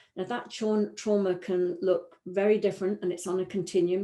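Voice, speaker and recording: In a British accent, a woman speaks at medium pitch with a dark, mellow tone. The background is quiet. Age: 60s. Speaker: three principles practitioner. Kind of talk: webinar talk. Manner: hesitant, many fillers and repetitions.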